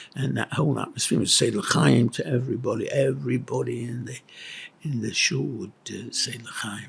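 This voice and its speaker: A man with a Yorkshire accent talks at a moderate pace, his loudness swinging widely. Noticeable background noise sits behind him. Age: 80s+. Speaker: retired school headmaster. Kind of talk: interview recollection. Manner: halting, with many fillers.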